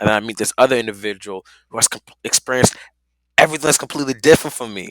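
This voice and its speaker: A man at medium pitch speaking very fast, with ordinary pitch variation and big swings in loudness, in a very clean, silent-background recording with a dry, close sound and no echo. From Nigeria, moved to US at six. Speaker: podcaster. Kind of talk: casual interview. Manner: halting, many fillers.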